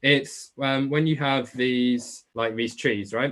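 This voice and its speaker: This man speaks with a strong Essex accent at a medium pitch. His pace is moderate and his pitch variation ordinary. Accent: thick Essex. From England, Essex. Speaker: online biology tutor. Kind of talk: live webclass Q&A. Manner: casual, chatty.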